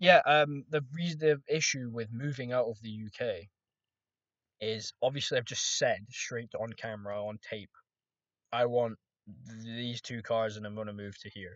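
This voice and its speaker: A man talks at a moderate pace with ordinary pitch variation. His loudness swings a lot. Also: medium pitch for a man. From Scotland. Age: 20s. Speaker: trading vlogger. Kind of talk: casual monologue vlog. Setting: recording to camera. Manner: rambling, hesitant with restarts.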